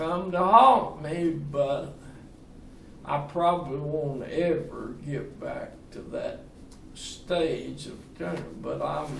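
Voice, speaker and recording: With a Southern US accent, a man speaks at a very slow pace and with big swings in loudness, over noticeable background noise and audible room echo. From US South, Tennessee. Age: 80s+. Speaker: retirement community resident. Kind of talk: casual interview.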